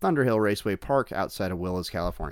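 A man talks at a very fast pace. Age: 40s. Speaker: podcast host and amateur motorcycle racer. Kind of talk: casual interview chat. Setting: racetrack paddock. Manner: halting, many fillers.

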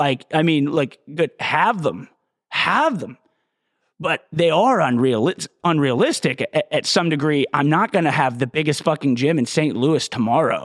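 A man with an ordinary speaking voice, fairly high in pitch with ordinary pitch variation, at a fairly slow pace, on a very clean recording with a silent background and a dry, close sound with no echo. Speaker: fitness podcast host. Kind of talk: solo monologue, motivational fitness talk with a ranting, profane edge; solo podcast monologue. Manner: informal, rambling, profanity-heavy.

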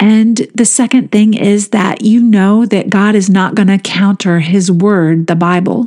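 A woman speaks at medium pitch in a plain, everyday voice, fairly slowly and with hardly any pauses. Her loudness stays very even and her intonation fairly even. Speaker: podcast host leading guided meditations. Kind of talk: guided meditation. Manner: slow, soothing, gentle.

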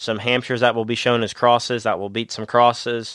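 A man speaks at medium pitch. The sound is dry and close, with no echo. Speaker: podcast host. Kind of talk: casual podcast chat. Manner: animated, upbeat.

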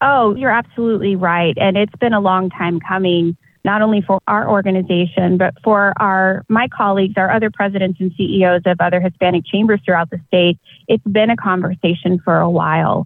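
A woman with an American accent speaks in a plain, everyday voice at a fairly quick pace, with medium pitch and fairly even intonation. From Texas, South Austin. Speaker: chamber of commerce president, lawyer. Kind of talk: interview.

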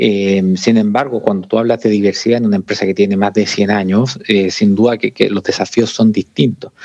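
A man with a fairly low pitch speaks at a fairly quick pace, with hardly any pauses. His intonation is fairly even and his loudness very even. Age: 40s. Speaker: corporate sustainability coordinator. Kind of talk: interview conversation. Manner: halting, many repetitions.

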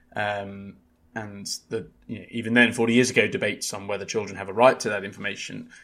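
A man with a fairly low voice rattles along at a very fast pace, flat and monotone in intonation, with big swings in loudness. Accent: British. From UK. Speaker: journal editor and podcast host. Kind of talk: casual book discussion.

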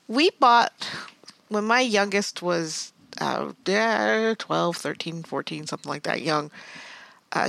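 A woman's voice with a bright, sharp tone comes through in a dry, close recording with no echo. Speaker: podcast co-host. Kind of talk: casual interview chat.

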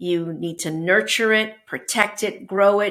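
Very slow speech in a Canadian accent on a very clean recording with a silent background. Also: woman. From Canada, Toronto. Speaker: business executive. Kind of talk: interview.

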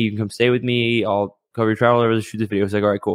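The recording is very clean, with a silent background. The delivery is monotone, with flat intonation. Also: man. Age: 20s. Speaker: entrepreneur and YouTuber. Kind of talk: casual chat. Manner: halting.

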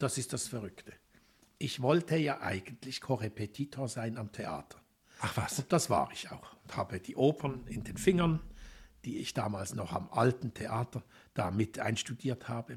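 A man's medium-pitched, somewhat breathy voice at a moderate pace, with lively intonation. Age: 60s. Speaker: anthroposophy lecturer and educator. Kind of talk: interview conversation. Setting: cultural centre, Basel.

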